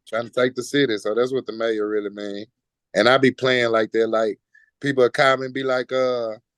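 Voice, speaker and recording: In a Houston accent, a man speaks fairly quickly at a medium pitch with monotone, flat intonation, the sound dry and close with no echo and the background quiet. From Houston, Texas. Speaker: rapper. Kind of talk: casual interview.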